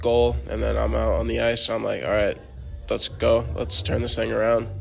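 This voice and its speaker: With music in the background, a man speaks in an American accent. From Missouri, US. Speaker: junior hockey player. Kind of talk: sports interview.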